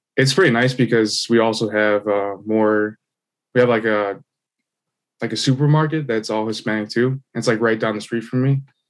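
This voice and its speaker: Against a quiet background, a man with a Midwestern American accent speaks at a moderate pace. His pitch is medium and his intonation fairly even. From US Midwest, Illinois. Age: 20s. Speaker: podcast guest. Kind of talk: casual chat.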